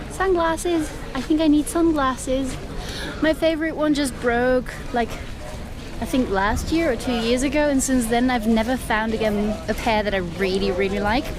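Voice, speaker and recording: Over music in the background and audible room echo, a woman talks at a high pitch with very even loudness. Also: lively intonation, moderate pace. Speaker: travel vlogger. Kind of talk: casual vlog chat. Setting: outdoors at a winery. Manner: chatty, with many fillers.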